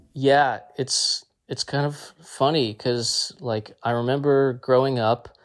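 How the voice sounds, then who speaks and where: A man with an American accent has an unremarkable speaking voice, fairly even intonation and a fairly slow pace. The recording is very clean, with a silent background. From New Jersey, US. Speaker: folk musician. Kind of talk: interview.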